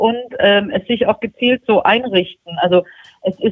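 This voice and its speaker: This woman has an unremarkable speaking voice. She keeps a moderate pace with ordinary pitch variation. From Swabia, southern Germany. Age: 40s. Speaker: magazine editor-in-chief. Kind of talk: interview.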